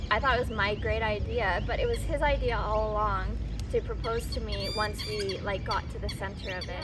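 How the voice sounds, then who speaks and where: In a Canadian accent, a woman speaks at a fairly quick pace amid noticeable background noise and audible room echo. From British Columbia, Canada (small town). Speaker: vlogger. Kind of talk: casual Q&A chat.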